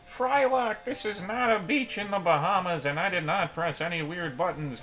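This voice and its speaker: A man puts on a character voice with a high pitch and a raised, projected delivery. He keeps a moderate pace over clear background noise. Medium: game stream.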